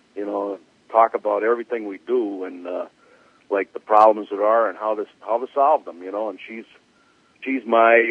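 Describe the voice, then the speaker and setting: A man with a fairly low voice, speaking at a moderate pace. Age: 60s. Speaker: drag racing crew chief. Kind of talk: interview. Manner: halting, many fillers.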